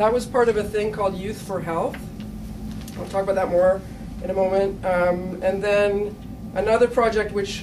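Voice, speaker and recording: A woman with a Canadian accent speaks at a moderate pace and medium pitch, in a monotone with flat intonation. Long, frequent pauses stand out over noticeable background noise. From Canada. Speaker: teacher. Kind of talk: conference presentation. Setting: stage with audience.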